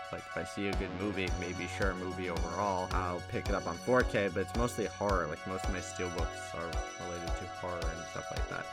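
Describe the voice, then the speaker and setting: Over music in the background, a man talks with a very deep, low pitch and fairly even intonation. His pace is fairly quick, with hardly any pauses. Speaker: horror channel host. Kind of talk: casual voiceover introducing channel.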